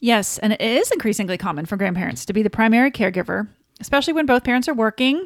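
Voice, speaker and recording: Her voice is fairly high, with a Southern US accent. She speaks at a very fast pace with lively intonation. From US South. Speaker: podcast co-host. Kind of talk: casual chat.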